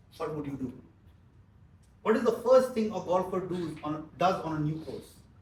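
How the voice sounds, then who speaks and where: At a moderate pace, a man with a high pitch and lively intonation talks with big swings in loudness, and the room echo is audible. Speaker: business trainer. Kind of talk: training seminar.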